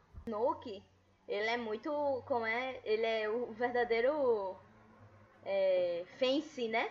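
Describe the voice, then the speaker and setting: Pausing long and often, a woman with a fairly high pitch speaks at a very slow pace. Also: ordinary pitch variation. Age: 20s. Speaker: podcast host. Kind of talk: casual chat.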